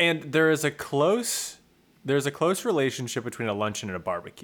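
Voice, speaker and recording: A man with an American accent speaks at a moderate pace, his fairly high pitch swinging very widely. The recording is very clean, with a silent background. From rural California. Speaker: podcast co-host. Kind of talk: casual chat.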